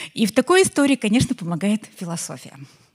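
A woman speaks in a somewhat breathy voice. The sound is dry and close with no echo. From Belarus. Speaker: entrepreneur and marketer. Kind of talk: conference talk. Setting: stage with audience.

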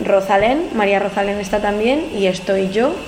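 With music in the background and audible room echo, a woman at medium pitch speaks at a fairly slow pace with ordinary pitch variation. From Spain, Madrid. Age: 20s. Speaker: singer-songwriter. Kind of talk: interview.

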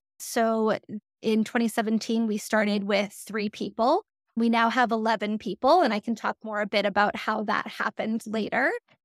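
In a very clean, dry, close recording with a silent background and no echo, a woman with an ordinary speaking voice talks at a moderate pace and fairly high pitch, her intonation fairly even. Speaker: research manager. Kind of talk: panel discussion.

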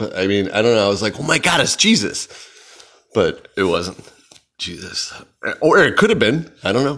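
Using lively intonation, a man with an American accent speaks at a medium pitch in a bright, sharp tone. His pace is moderate, with long, frequent pauses. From Chicago. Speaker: podcast host. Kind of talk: casual solo monologue. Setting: at home in apartment. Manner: rambling, many fillers (um, uh, like).

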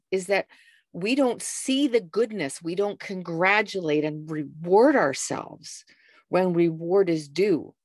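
With a Canadian accent, a woman has an unremarkable speaking voice at a medium pitch, her intonation lively against a quiet background. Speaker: lifestyle coach and jazz singer. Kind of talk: interview.

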